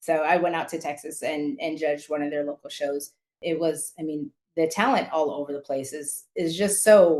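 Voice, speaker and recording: With an American accent, a woman speaks at a moderate pace. Her pitch is very deep and low. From California (San Diego). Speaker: former color guard performer and judge. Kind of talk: interview. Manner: animated.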